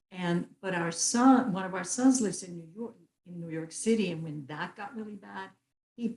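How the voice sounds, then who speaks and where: A woman's somewhat breathy voice at a moderate pace, with big swings in loudness. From Puerto Rico. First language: Spanish. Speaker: retired philanthropist. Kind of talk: interview conversation.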